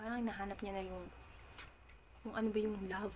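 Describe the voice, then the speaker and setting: The speech comes at a very fast pace in a soft-spoken manner. Noticeable background noise runs underneath. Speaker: YouTuber. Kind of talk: casual vlog reaction.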